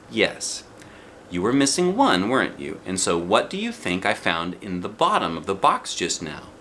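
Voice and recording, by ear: Putting on a character voice, a man with a low pitch and a fairly bright tone speaks at a moderate pace, swinging very widely in pitch.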